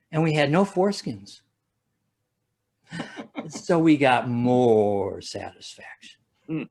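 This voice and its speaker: A man with a Midwestern American accent speaks at a very slow pace, his pitch swinging very widely. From Ohio, USA. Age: 70s. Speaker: stand-up comedian. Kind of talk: stand-up comedy routine.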